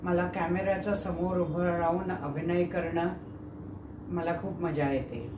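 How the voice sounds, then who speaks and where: Noticeable background noise sits behind a woman speaking with a fairly low pitch. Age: 60s. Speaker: actor. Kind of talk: audition self-introduction.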